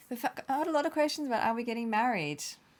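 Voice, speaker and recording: With a slight Australian accent, a woman speaks at a fairly high pitch with lively intonation. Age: 30s. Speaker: travel vlogger. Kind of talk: casual chat. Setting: live stream.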